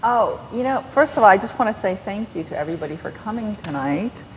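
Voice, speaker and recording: Her pace is fairly quick, and the woman's medium pitch carries lively intonation. Noticeable background noise sits behind her. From New York. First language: Korean. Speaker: novelist. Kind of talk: onstage interview. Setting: stage with audience. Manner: animated.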